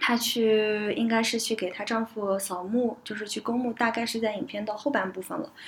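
Somewhat breathy and fairly high-pitched, a woman speaks at a moderate pace with fairly even intonation and hardly any pauses. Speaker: podcast host. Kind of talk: casual discussion podcast.

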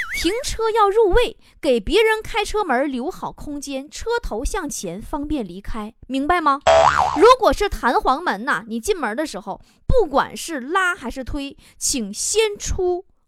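A woman with a high pitch, very wide pitch swings and an animated tone at a fairly slow pace, over music in the background. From rural China, farming family. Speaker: radio host. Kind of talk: radio talk show monologue. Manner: animated, frequent laughter.

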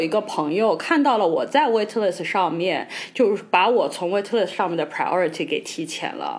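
Through noticeable background noise, a woman's voice moves in very wide pitch swings. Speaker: podcast co-host. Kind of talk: casual chat.

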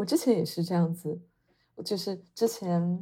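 In a very clean recording with a silent background, a woman with a fairly low pitch sounds somewhat breathy, her tone dark and mellow. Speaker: podcast co-host. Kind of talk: casual chat.

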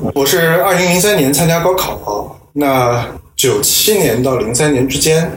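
A man speaks at a fairly slow pace with ordinary pitch variation. Audible room echo and noticeable background noise surround him. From Nanjing, China. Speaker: professor. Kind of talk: interview.

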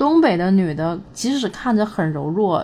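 An unremarkable speaking voice from a woman, medium in pitch, at a fairly slow pace. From Northeast China. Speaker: vlogger. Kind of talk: casual monologue.

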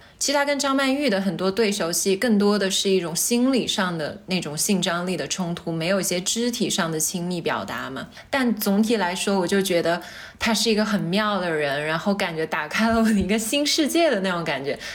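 Lively in intonation, a woman talks at a fairly quick pace with hardly any pauses. Her pitch is medium, and audible room echo surrounds her voice. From Changsha, Hunan, China. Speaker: podcast co-host appearing as guest. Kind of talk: casual chat.

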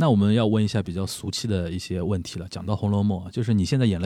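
A man rattles along at a very fast pace in a fairly low pitch with a dark, mellow tone, recorded very cleanly against a silent background. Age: 30s. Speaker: podcast host; media professional. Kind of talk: casual chat.

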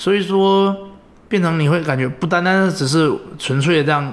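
A man talks at a moderate pace with ordinary pitch variation. The room echo is audible. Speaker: former scholarship student, recent engineering graduate. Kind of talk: interview conversation. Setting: at home.

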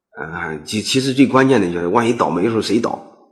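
A man's medium-pitched voice, fairly quick and lively in intonation, with audible room echo. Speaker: business management lecturer. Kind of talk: lecture. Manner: halting, many fillers and repetitions.

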